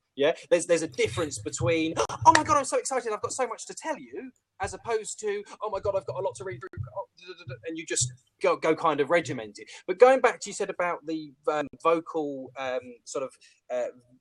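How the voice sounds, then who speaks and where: A man with a British accent speaks at a very fast pace and high pitch, with very wide pitch swings and big swings in loudness. The sound is dry and close, with no echo. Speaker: professional speaker and phone sales trainer. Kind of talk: casual chat. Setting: video call. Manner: camp on the phone.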